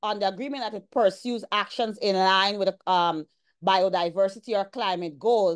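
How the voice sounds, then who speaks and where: With a Guyanese accent, a woman talks at a fairly slow pace with ordinary pitch variation against a quiet background. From Guyana. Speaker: environmental law lecturer; presenter. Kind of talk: presentation. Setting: video call. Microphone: video call.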